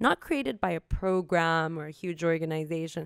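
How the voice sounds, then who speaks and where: A woman with an American accent, recorded dry and close with no echo. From Southern California, with teen years in Cairo. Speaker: human rights advocate and lawyer. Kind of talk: interview.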